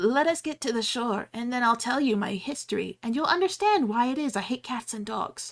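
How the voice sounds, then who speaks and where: A woman puts on a character voice, high in pitch and shaky. She goes at a moderate pace with hardly any pauses. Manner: passionate, upset.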